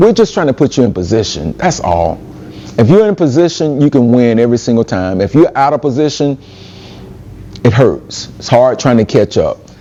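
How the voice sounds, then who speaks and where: Against noticeable background noise, a man speaks at a medium pitch and a fairly quick pace. His pitch swings very widely. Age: 60s. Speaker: event organizer. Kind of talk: speech to youth retreat audience.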